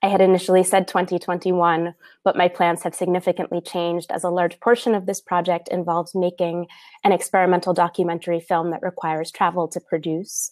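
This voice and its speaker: A woman with an American accent and a fairly low pitch speaks at a fairly quick pace in monotone, flat intonation against a quiet background. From New York City. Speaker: artist and professor, keynote speaker; professor, keynote speaker. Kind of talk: conference keynote talk. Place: home room. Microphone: earbuds.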